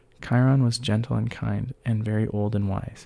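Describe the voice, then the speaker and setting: On a very clean recording with a silent background, a soft-spoken man with a dark, mellow tone talks at a fairly slow pace with fairly even intonation. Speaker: ASMR creator. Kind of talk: read story.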